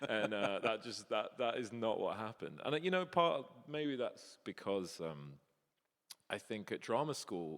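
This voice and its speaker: The speaker talks at a fairly slow pace while the pitch swings very widely. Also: man, medium pitch for a man. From northern England, Sheffield. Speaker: voice actor. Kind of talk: panel interview on stage. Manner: halting, many restarts.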